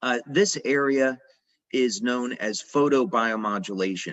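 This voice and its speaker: A man with a medium-pitched voice talks at a fairly slow pace. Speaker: company founder presenting science talk. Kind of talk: lecture. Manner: hesitant with frequent uh fillers.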